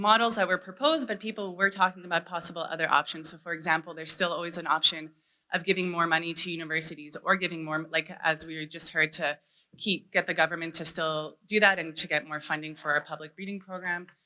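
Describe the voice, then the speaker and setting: At a very fast pace, a woman talks with a bright, sharp tone and fairly even intonation. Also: fairly low pitch for a woman. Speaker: conference presenter on seed policy. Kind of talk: conference presentation.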